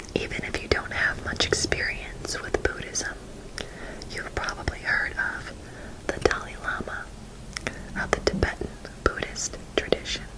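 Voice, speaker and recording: Against noticeable background noise, a woman whispers at a fairly slow pace with long, frequent pauses. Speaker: ASMR artist. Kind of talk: ASMR book reading, whispered. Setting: close-mic ASMR recording. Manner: whispered, soft, slow.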